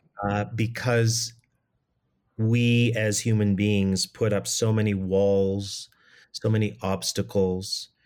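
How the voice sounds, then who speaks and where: With a Canadian accent, a man talks at a very slow pace in a flat monotone, his loudness very even, on a very clean recording with a silent background. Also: fairly low pitch for a man. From Canada. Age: 50s. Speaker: theater director. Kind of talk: interview. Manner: halting.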